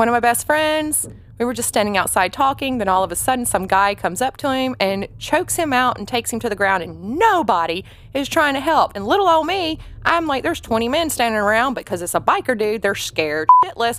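A woman speaks at a fairly quick pace in a high pitch with a Southern US accent, her pitch swinging very widely, on a very clean recording with a silent background. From Atlanta, Georgia. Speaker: bartender. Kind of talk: casual chat.

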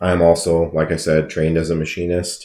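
On a very clean recording with a silent background, a man with an Upper Midwest accent speaks at a moderate pace in a very deep, low pitch. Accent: Upper Midwest American. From Wisconsin. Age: 30s. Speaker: podcast host and car dealer. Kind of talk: casual monologue.

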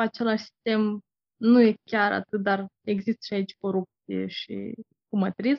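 Speaking at a fairly slow pace, a woman has a fairly high pitch and a plain, everyday voice. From Moldova. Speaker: interviewee. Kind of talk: casual interview.

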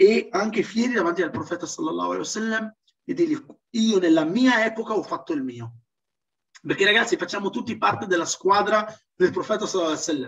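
A man's high, very fast voice with very wide pitch swings and long, frequent pauses. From Italy, Trentino (Moroccan parents). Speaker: Islamic self-development speaker. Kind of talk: seminar talk. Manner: hesitant with fillers.

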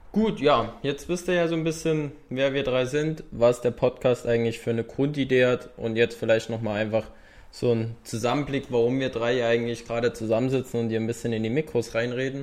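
A man with an ordinary speaking voice, medium in pitch, with ordinary pitch variation. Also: fairly quick pace. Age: 20s. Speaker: podcast co-host, physiotherapy trainee. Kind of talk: casual podcast introduction.

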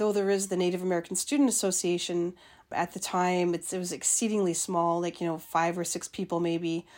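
Speaking in a plain, everyday voice, a woman keeps a medium pitch and fairly even intonation. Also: very clean recording, silent background. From Winnipeg, Manitoba, Canada. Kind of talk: interview.

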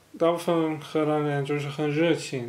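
Audible room echo surrounds a man with a Dutch accent. His voice is fairly high, with a dark, mellow tone. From Netherlands. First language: Dutch (speaking Chinese). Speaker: podcast co-host. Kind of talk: casual chat. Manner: halting, many fillers.

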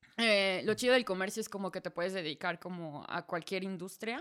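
A woman with a central Mexican accent speaks at a medium pitch. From Mexico, Celaya. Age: 20s. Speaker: podcast guest, expat. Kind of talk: casual chat.

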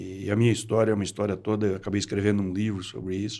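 A man's unremarkable speaking voice, fairly low in pitch and fairly even in intonation. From Brazil, rural west of São Paulo state. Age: 60s. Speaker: entrepreneur. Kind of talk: interview.

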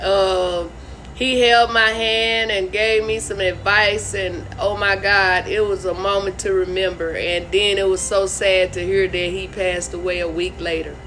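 Against noticeable background noise, a woman with a medium pitch speaks at a fairly slow pace in a monotone, flat intonation. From Arkansas. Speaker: comedian and show host. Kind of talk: casual interview chat. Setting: video call.

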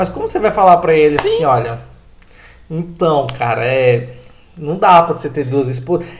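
Noticeable background noise sits behind a man with a fairly high pitch. He speaks at a moderate pace with ordinary pitch variation and long, frequent pauses. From Brazil, Pará (Transamazônica region). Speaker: podcast host. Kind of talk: casual chat.

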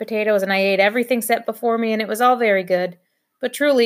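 Someone is reading aloud in a natural voice, and the background stays quiet.

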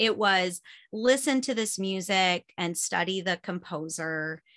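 With an American accent and a bright, sharp tone, a woman speaks with ordinary pitch variation in a dry, close sound with no echo. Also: very clean recording, silent background. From US Midwest (Michigan and Chicago area). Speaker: homeschool mom and online co-op founder. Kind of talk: casual podcast interview.

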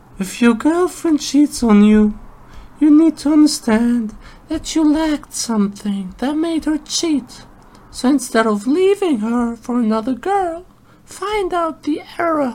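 Speaking at a fairly slow pace, a man puts on a character voice with an extremely high pitch. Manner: mocking, girly.

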